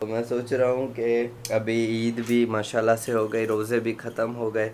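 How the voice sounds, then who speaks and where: His pitch is medium for a man. The intonation is monotone and flat throughout. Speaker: vlogger. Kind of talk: casual vlog.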